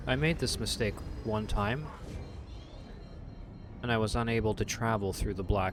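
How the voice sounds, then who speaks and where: Soft-spoken and fairly quick, a man talks in a fairly low pitch with ordinary pitch variation while music plays in the background. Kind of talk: sleep-friendly gaming commentary, casual talk to camera. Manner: soft-spoken, calm, friendly.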